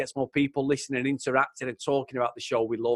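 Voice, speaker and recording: In a very clean recording with a silent background and a dry, close sound with no echo, a man with a Mancunian accent talks very fast in an animated tone. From Manchester, England. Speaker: podcast host. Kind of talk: casual chat.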